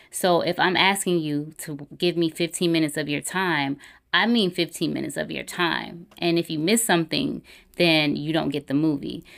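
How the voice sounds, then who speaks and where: In an American accent, a woman sounds animated, with vocal fry, a fairly low pitch and ordinary pitch variation, on a very clean recording with a silent background. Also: moderate pace. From US South, Atlanta area (Clayton County, Georgia). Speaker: filmmaker and screenwriter. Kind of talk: casual interview chat. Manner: animated, laughs often.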